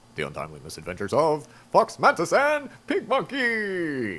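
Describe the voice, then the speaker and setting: This man uses a put-on character voice, pitched high, and moves at a moderate pace. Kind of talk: old-time broadcast announcer.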